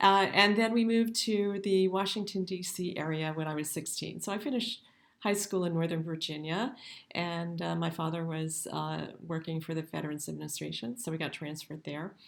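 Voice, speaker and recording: A woman at a fairly quick pace with ordinary pitch variation, on a very clean recording with a silent background. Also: fairly low pitch for a woman. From US South, Mississippi. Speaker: professor. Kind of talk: lecture. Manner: hesitant, many fillers.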